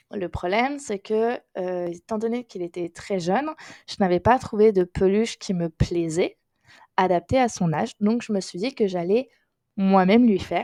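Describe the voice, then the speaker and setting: A woman's dark, mellow voice at a medium pitch with ordinary pitch variation, in a dry, close sound with no echo. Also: moderate pace. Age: 20s. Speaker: crochet youtuber. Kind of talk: casual podcast monologue. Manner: hesitant, many fillers.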